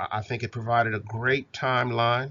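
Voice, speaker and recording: An unremarkable speaking voice, medium-pitched and male, moving at a moderate pace. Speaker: university instructor. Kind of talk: recorded lecture.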